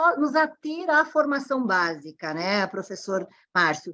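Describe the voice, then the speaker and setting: Moving at a fairly slow pace, a woman with a high pitch makes very wide pitch swings. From southern Brazil (Rio Grande do Sul). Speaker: panel moderator. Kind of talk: online panel moderation. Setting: online event.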